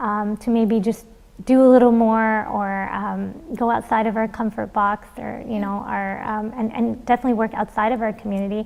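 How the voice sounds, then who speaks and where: Speaking at a moderate pace with a Canadian accent, a woman keeps a fairly high pitch and monotone, flat intonation. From Canada. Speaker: birth worker. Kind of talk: interview. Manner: hesitant.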